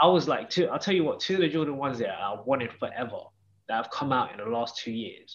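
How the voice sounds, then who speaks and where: Speaking with a British accent, a man talks at a very fast pace. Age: 30s. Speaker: sneaker cleaner and collector. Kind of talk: casual chat.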